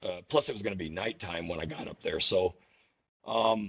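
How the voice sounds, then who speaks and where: This man speaks at a fairly slow pace. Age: 60s. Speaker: ultra runner. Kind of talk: podcast interview. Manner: halting, many repeated words.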